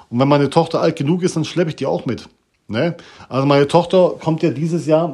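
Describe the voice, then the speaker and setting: The recording is very clean, with a silent background. A man speaks in a dark, mellow tone with ordinary pitch variation. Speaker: podcaster. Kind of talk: casual monologue. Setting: bathroom at home.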